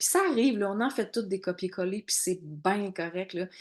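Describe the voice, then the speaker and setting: A woman with a Quebec accent speaks at a moderate pace, her medium pitch showing ordinary variation. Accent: Québécois French. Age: 40s. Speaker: network marketing coach. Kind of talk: online training workshop. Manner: loud, animated.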